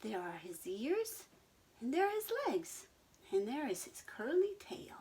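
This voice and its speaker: A high, put-on character voice at a fairly slow pace with very wide pitch swings. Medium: read story. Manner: squealing, eager.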